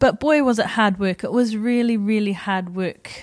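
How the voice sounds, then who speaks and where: A woman speaks in a New Zealand accent at a moderate pace with ordinary pitch variation. The recording is very clean with a silent background. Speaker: podcast host and life coach. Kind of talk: personal storytelling monologue. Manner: casual, conversational.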